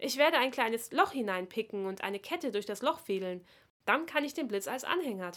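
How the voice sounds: Intonation stays lively throughout this natural reading voice.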